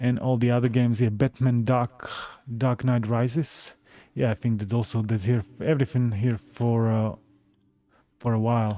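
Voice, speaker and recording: Here a man with a Slovak accent speaks at a moderate pace in a medium pitch. His tone is dark and mellow, his intonation fairly even, and his loudness very even. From Slovakia, Bratislava. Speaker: gaming YouTuber. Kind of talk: live stream chat. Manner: halting, many fillers.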